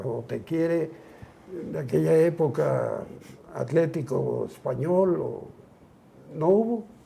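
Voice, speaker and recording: A man's very slow speech carries audible room echo. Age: 70s. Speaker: retired footballer. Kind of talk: interview.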